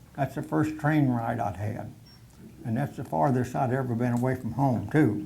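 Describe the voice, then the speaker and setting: With an American accent and some vocal fry, a man speaks at a moderate pace with ordinary pitch variation, and the room echo is audible. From Oklahoma, US. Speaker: war veteran. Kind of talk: personal war reminiscence talk to a society meeting. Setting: meeting hall with audience. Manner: halting, many fillers.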